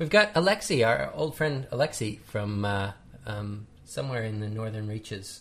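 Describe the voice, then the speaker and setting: A plain, everyday voice speaks with a Canadian accent. The pace is moderate and the intonation lively. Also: man, medium pitch for a man. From Canada. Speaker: podcast host. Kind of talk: casual chat.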